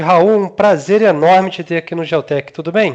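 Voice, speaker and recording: A man with a high-pitched voice. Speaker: podcast host. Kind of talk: interview. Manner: casual, hesitant with fillers.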